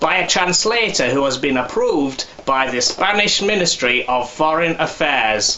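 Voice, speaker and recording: With noticeable background noise behind him, a man speaks at a fairly slow pace, his pitch swinging very widely. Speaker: ventriloquist. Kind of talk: promotional advert read.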